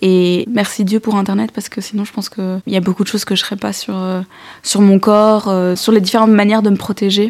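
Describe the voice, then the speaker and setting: Flat, monotone delivery from a woman at medium pitch, fairly quick in pace. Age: 20s. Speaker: young woman giving testimony. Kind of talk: testimony.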